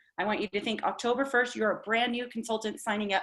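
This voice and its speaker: The voice belongs to a woman and sits fairly high in pitch. Its tone is bright and sharp. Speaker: direct sales team leader. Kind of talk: team training meeting. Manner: animated.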